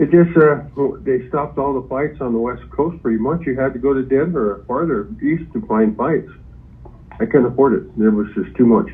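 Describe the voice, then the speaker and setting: Lively intonation runs through an unremarkable speaking voice delivered at a moderate pace. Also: man, medium pitch for a man. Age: 60s. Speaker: property seller, boxing trainer. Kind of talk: phone call with buyer. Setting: phone call.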